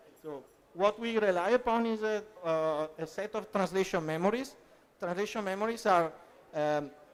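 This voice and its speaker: Someone with an Italian accent speaks at a moderate pace. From Italy. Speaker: translation professional at EU institution. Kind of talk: conference panel talk. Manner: hesitant, many fillers.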